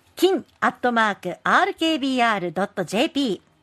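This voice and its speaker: A woman's high-pitched voice at a very slow pace, with very wide pitch swings and a dry, close sound free of echo. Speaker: radio announcer. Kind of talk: radio show introduction and announcements. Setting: radio studio.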